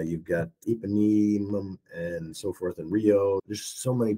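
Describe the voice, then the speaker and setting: An ordinary speaking voice with ordinary pitch variation, dry and close with no echo, on a very clean recording with a silent background. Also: man. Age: 60s. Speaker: retired traveler and hash runner. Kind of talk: podcast interview.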